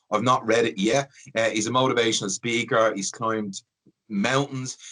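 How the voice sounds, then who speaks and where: The man's voice has a bright, sharp tone. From Dublin, the Liberties. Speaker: podcast host and hospital worker. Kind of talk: podcast interview.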